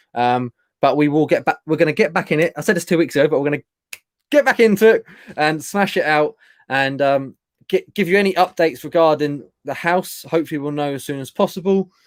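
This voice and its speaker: A man with a British accent speaks at a fairly quick pace in a fairly high voice with ordinary pitch variation. The recording is very clean, with a silent background and a dry, close sound with no echo. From UK. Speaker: online reseller and channel co-host. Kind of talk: casual live-stream chat. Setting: live stream. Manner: fast.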